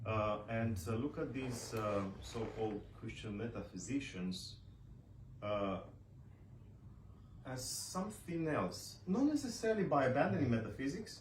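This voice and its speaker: With a Romanian accent, a man speaks at a fairly slow pace and medium pitch, using lively intonation, long, frequent pauses, and audible room echo around him. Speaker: author and scholar. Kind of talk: book launch speech. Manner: halting, many fillers.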